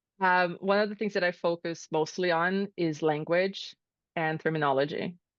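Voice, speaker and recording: A Portuguese accent at a moderate pace, with very even loudness and fairly even intonation. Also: woman, fairly low pitch for a woman. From Brazil. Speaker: chief of staff. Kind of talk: interview. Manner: casual.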